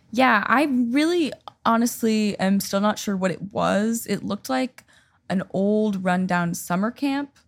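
Recorded very cleanly against a silent background, a woman with an American accent speaks at a medium pitch, somewhat breathy, with lively intonation. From US Pacific Northwest, Seattle. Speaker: singer-songwriter. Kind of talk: casual chat. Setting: home.

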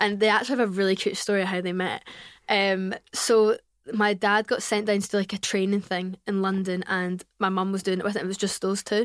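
A woman talks with a Glasgow accent. She keeps a fairly quick pace. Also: very clean recording, silent background. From Scotland, Glasgow. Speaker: podcaster. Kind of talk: casual chat.

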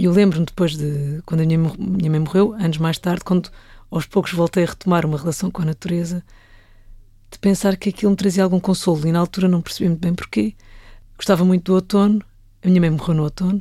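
At a very fast pace, a woman with a fairly low pitch and fairly even intonation talks on a very clean recording with a silent background. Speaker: film director. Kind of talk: casual interview chat.

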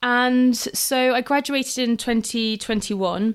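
A woman speaks with a London accent. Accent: southern English (London). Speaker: nutritionist, podcast host. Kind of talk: solo podcast monologue. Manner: animated.

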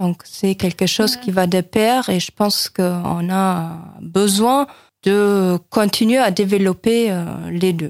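A woman speaks very slowly at a medium pitch with ordinary pitch variation. The recording is very clean and silent behind her, with a dry, close sound and no echo. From West Germany. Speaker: German teacher. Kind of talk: radio interview.

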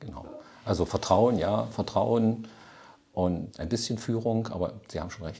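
With vocal fry and a dark, mellow tone, a man speaks at a fairly low pitch and a fairly slow pace, leaving long, frequent pauses. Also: ordinary pitch variation. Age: 50s. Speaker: retired software company founder. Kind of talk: interview.

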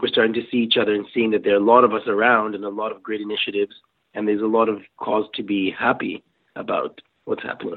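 This man's fairly low voice holds a monotone, flat intonation. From Kenya. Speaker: startup founder. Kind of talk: interview.

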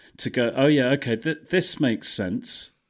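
In a normal speaking voice with ordinary pitch variation, a man talks at a moderate pace on a very clean recording with a silent background. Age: 50s. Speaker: breathwork coach and brand consultant. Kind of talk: casual interview chat.

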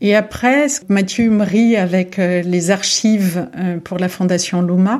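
A dark, mellow tone moves at a very slow pace with fairly even intonation. The recording is very clean, with a silent background. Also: woman. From France, Paris region and Lyon. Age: 40s. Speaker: art gallery director. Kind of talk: interview. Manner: halting, frequent repetitions.

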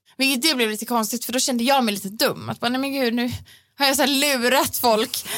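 The woman's voice is high in pitch, with a fairly even intonation. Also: fairly quick pace. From Sweden, Gothenburg. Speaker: pop singer. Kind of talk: casual chat. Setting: studio.

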